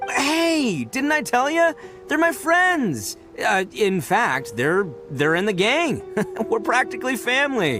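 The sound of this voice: A man's cartoonish character voice, extremely high-pitched with a bright, sharp tone, big pitch swings and a slow pace, faint music in the background. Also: few pauses.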